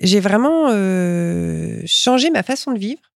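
A woman's medium-pitched voice is captured in a very clean recording with a silent background. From France, Reims area. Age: 40s. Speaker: glass artist and artistic director. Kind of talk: interview. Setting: glass workshop library. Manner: hesitant with repetitions.

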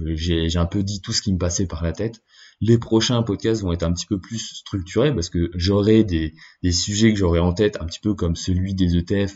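Somewhat breathy, a man's very deep, low voice moves at a moderate pace with fairly even intonation. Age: 20s. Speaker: podcast host. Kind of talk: solo monologue. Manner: halting.

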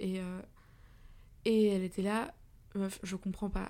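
A woman's voice has a dark, mellow tone at a medium pitch with monotone, flat intonation. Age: 20s. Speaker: podcaster, journalism student. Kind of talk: personal monologue podcast. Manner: casual, many fillers.

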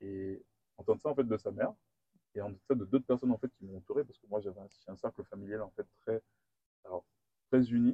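A man with a dark, mellow tone and a medium pitch speaks very fast yet leaves long, frequent pauses, his intonation fairly even and his loudness swinging widely, in a dry, close sound with no echo. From Guadeloupe. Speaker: engineer. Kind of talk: interview. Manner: hesitant.

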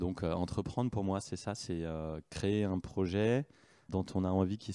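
Very deep and low, a man's voice has a dark, mellow tone and fairly even intonation. The sound is dry and close, with no echo. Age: 40s. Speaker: entrepreneur, company founder and CEO. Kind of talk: interview. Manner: hesitant, many fillers and repetitions.

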